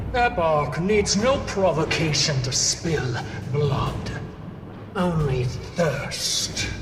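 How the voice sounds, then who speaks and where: Over loud background noise and with slight echo, a put-on character voice at a middle pitch moves at a very slow pace. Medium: machinima. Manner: fiery, impassioned.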